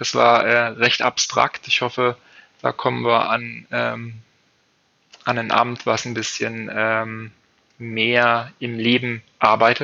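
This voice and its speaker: Long, frequent pauses break up a man's very slow, monotone, flat delivery at a medium pitch. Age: 30s. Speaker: trainee baker. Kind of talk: interview. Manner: halting, many fillers.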